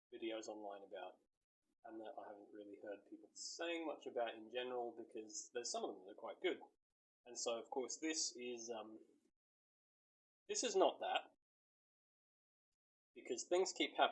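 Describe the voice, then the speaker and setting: Here is a man in a rural Australian accent. He keeps a moderate pace. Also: long, frequent pauses, big swings in loudness. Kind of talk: casual talk to camera. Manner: rambling, hesitant.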